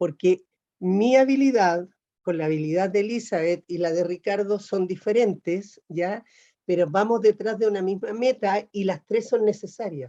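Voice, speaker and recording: A woman's dark, mellow voice at medium pitch and moderate pace, with ordinary pitch variation, dry and close with no echo. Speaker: workshop facilitator. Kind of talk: lecture.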